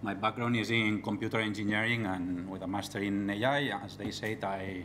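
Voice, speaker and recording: This man speaks at a fairly low pitch, at a moderate pace, with fairly even intonation and an unremarkable speaking voice. Light background noise can be heard. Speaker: conference speaker. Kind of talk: technical talk. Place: hall. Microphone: podium.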